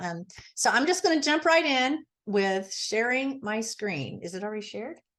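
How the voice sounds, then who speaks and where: A woman talks at a moderate pace in an unremarkable speaking voice, with lively intonation. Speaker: gardening presenter. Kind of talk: online presentation. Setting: video call.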